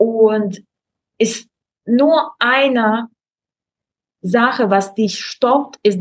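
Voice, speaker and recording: The speaker has a Russian accent and ordinary pitch variation. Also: woman. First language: Russian (speaking German). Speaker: Instagram expert and online course creator. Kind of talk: casual interview chat. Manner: halting, many fillers.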